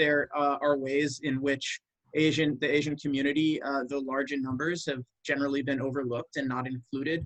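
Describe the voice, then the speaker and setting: A man with a bright, sharp tone and fairly high pitch speaks at a moderate pace, the sound dry and close with no echo. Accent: American. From US Midwest, Iowa. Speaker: political campaign worker and writer. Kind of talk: panel discussion. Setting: video call webinar. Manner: hesitant, many fillers.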